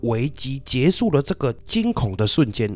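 A man with a Taiwanese accent, medium pitch and a dark, mellow tone, with very wide pitch swings at a moderate pace. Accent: Taiwanese Mandarin. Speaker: podcast host. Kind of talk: casual monologue storytelling. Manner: quieter than usual.

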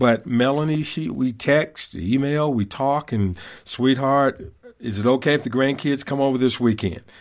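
In a normal speaking voice, the speaker goes at a moderate pace on a very clean recording with a silent background. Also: man. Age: 60s. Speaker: author and fatherhood speaker. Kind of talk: interview.

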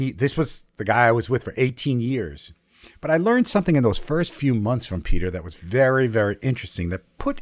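A man's voice with very wide pitch swings. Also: very clean recording, silent background. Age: 60s. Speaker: storyteller and educator. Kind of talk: personal storytelling.

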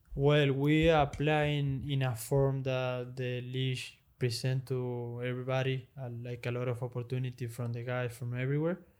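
Speaking with a Spanish accent, a man keeps a medium pitch, a monotone, flat intonation, and a moderate pace, with hardly any pauses. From Argentina. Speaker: professional padel player. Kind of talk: interview. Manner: halting.

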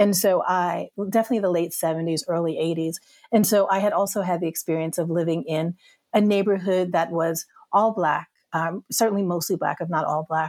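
Speaking at a moderate pace with an American accent, a woman with a plain, everyday voice keeps her fairly low pitch in a fairly even intonation, in a dry, close recording with no echo. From US South. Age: 50s. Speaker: podcast guest, filmmaker. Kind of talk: casual conversation.

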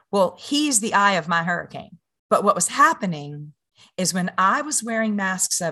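A woman with a Louisiana accent speaks at a moderate pace in a medium pitch, her tone bright and sharp against a quiet background. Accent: Louisiana Southern US. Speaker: mother and podcaster. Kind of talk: interview.

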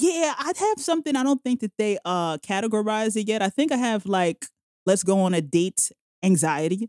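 In a New York accent, a woman with a fairly high pitch speaks at a moderate pace with very wide pitch swings, the sound dry and close with no echo. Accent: New York City. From New York City, Jamaica, Queens. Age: 30s. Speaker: podcaster. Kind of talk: casual chat.

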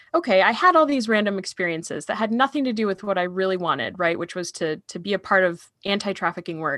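A woman with an American accent talks at a very fast pace, with hardly any pauses, in a bright, sharp tone at medium pitch with lively intonation. The sound is dry and close, with no echo. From Michigan, US. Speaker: anti-trafficking advocate. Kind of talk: interview.

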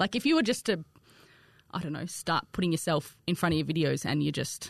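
Against a quiet background, a woman with a strong Australian accent talks at a very fast pace with ordinary pitch variation. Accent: broad Australian. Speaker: content creator and cake decorator. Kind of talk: casual chat.

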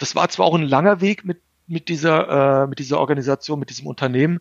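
This man's fairly high voice shows ordinary pitch variation as he rushes along at a very fast pace. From Germany, bicultural Turkish family. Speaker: investor and author. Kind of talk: interview.

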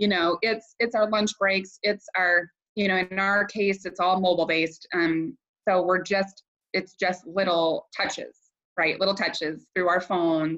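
Fairly slow speech in an American accent with fairly even intonation. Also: woman, medium pitch for a woman. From US Midwest, Iowa. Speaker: network marketing leader. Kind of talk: interview.

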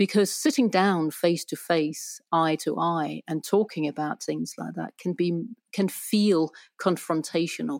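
With a Danish accent, a woman speaks at a fairly slow pace and a fairly low pitch with ordinary pitch variation, in a very clean recording with a silent background and a dry, close sound with no echo. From Denmark. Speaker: relationship therapist and writer. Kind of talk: casual interview. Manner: hesitant, many fillers.

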